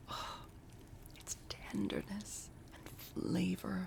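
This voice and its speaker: A calm-toned whisper. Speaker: booktube reader. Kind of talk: audiobook reading of a classic novel, cozy holiday cold read. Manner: soft-spoken, calm storytelling.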